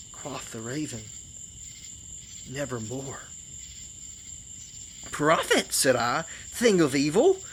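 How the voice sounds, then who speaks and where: Against noticeable background noise, a man with a fairly high pitch speaks very slowly with lively intonation. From Georgia, US South. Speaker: storyteller. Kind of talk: poetry reading, campfire tale.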